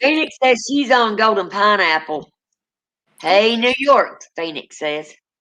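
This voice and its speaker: With a Southern US accent, this woman talks at a fairly slow pace in a fairly high pitch, her bright, sharp tone marked by very wide pitch swings. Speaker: paranormal livestream host. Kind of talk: casual chat.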